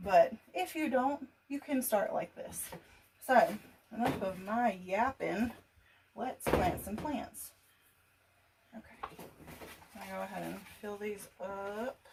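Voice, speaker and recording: The voice has a Southern US accent and lively intonation. It moves at a very slow pace with long, frequent pauses. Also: woman, fairly high pitch for a woman. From US South. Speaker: gardening youtuber. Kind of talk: casual tutorial. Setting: laundry room at home.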